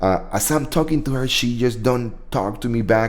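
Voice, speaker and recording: Audible room echo surrounds a man speaking with a strong Spanish accent. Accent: thick Spanish. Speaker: veteran livestream host. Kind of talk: casual live chat. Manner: halting, repetitive.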